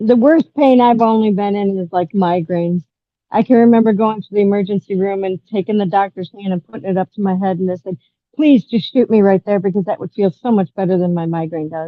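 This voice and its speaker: Her voice is an unremarkable speaking voice, medium in pitch for a woman, with ordinary pitch variation at a fairly quick pace. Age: 60s. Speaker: guest sharing health story. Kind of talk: casual group chat.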